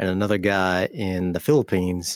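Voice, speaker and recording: A man's fairly low, unremarkable speaking voice at a moderate pace, with a dry, close sound and no echo. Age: 40s. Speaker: gaming YouTuber. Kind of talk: casual chat. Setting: video call.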